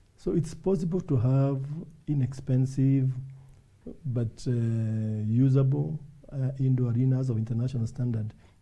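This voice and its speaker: Against a quiet background, a man with a dark, mellow tone and a medium pitch sounds somewhat breathy, using ordinary pitch variation and long, frequent pauses. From Kenya. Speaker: volleyball federation official and Olympic team chief; guest. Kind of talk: interview. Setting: studio. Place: studio. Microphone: lapel.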